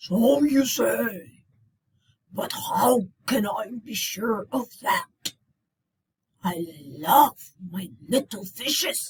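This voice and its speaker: A raspy, put-on character voice with a fairly high pitch. It moves at a very slow pace with long, frequent pauses. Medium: read story. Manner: thundering.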